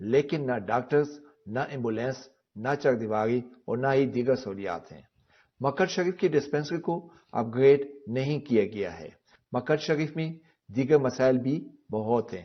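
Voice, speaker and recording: This man has a normal speaking voice at a medium pitch, with ordinary pitch variation and big swings in loudness. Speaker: news reporter. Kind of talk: TV news report.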